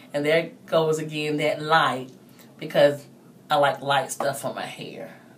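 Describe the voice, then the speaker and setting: A woman speaks at a fairly slow pace in a very deep, low voice with monotone, flat intonation. Her loudness swings widely, and the room echo is audible. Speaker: hair vlogger. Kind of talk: tutorial. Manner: trying to speak loudly; casual, hesitant with fillers.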